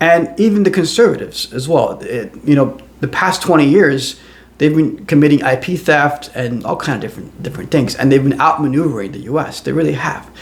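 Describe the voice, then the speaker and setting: A man talks at a fairly quick pace with a fairly high pitch and ordinary pitch variation. There is noticeable background noise behind him. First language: not English. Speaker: AI commentator, show host. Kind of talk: personal commentary monologue. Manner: conversational with frequent repetitions and fillers.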